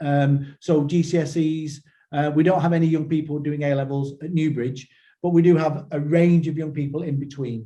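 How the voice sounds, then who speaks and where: The tone is dark and mellow. Intonation stays fairly even throughout. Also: man. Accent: northern English. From northern England. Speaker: school trust chief executive. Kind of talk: webinar presentation. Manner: hesitant, many repetitions and fillers.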